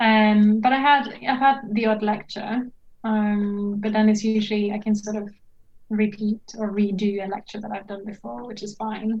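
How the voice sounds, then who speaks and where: A woman with a fairly high pitch and a somewhat breathy voice talks at a moderate pace in a monotone, flat intonation, with big swings in loudness. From Norway. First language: Norwegian. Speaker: archaeologist and PhD student. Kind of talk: casual interview chat. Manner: hesitant with many fillers.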